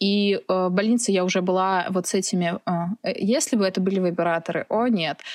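Speaking at a medium pitch with fairly even intonation and very even loudness, a woman leaves hardly any pauses. The sound is dry and close with no echo, on a very clean recording with a silent background. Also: moderate pace. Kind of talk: casual chat. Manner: halting.

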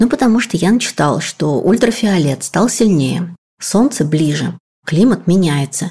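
With lively intonation, a woman talks at a moderate pace in a fairly low, somewhat breathy voice with a dark, mellow tone. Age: 40s. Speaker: podcast producer. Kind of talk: casual chat.

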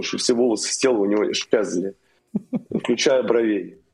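A man talks at a fairly quick pace. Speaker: military contractor veteran. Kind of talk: casual chat. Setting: remote call.

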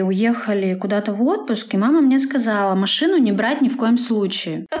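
An unremarkable speaking voice, a woman's comes at a fairly high pitch and fairly quick pace with ordinary pitch variation. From Sverdlovsk region, Urals village. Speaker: publisher of a city media outlet. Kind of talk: casual interview.

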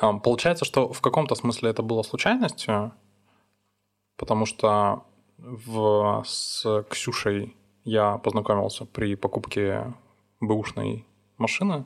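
Speaking at a very slow pace with long, frequent pauses, a man keeps a fairly low pitch and fairly even intonation. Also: very clean recording, silent background. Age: 30s. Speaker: podcast host. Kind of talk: casual chat.

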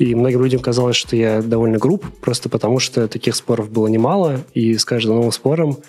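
A man of medium pitch with ordinary pitch variation. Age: 20s. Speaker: media product manager, former editor-in-chief. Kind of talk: interview.

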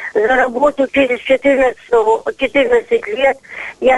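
A woman's high voice with ordinary pitch variation over noticeable background noise. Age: 80s+. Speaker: volunteer nature inspector. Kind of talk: radio call-in complaint. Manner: agitated.

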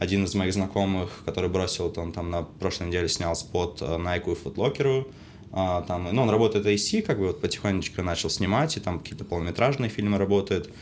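A man speaks in a very deep, low voice. His pitch moves in an ordinary way. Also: fairly quick pace. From Saint Petersburg, Russia. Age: 20s. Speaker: film crew technician. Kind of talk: casual chat.

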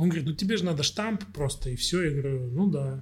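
Speaking at a very fast pace, a man has a fairly high pitch. His intonation is lively. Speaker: musician. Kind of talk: casual chat.

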